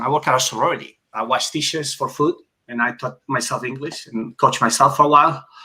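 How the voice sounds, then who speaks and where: With a Spanish accent and a bright, sharp tone, a man speaks at a fairly quick pace and fairly high pitch. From Spain, Barcelona (Catalonia). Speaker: former Olympic swimmer. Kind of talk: casual interview.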